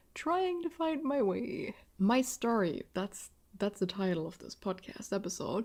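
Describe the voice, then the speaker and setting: In a German accent, the voice moves at a fairly slow pace with very wide pitch swings, on a very clean recording with a silent background. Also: woman. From southwest Germany. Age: 20s. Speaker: podcast host. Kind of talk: casual monologue. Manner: halting.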